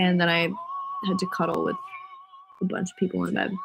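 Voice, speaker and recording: Music plays in the background. A woman with an American accent speaks at a medium pitch. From US Northeast, Rhode Island. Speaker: singer livestreaming to fans. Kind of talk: casual livestream chat. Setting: livestream from bed. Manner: casual, filler-heavy.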